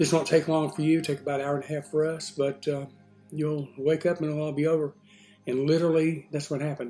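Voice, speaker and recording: A man with a fairly high pitch talks very fast in a flat monotone, with music playing in the background. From Texas, USA. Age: 60s. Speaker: retiree. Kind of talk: casual talk to camera. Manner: hesitant, many fillers.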